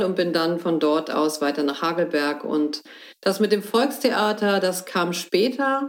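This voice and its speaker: Speaking fairly slowly in a normal speaking voice, a woman of medium pitch uses lively intonation and very even loudness. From northern Germany, Hamburg area. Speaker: theatre director. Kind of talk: interview. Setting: at her home.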